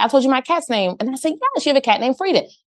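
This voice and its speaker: Her pitch high, the woman speaks with an American accent. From Philadelphia, US. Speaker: podcast host, hairstylist and salon owner. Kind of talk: casual chat.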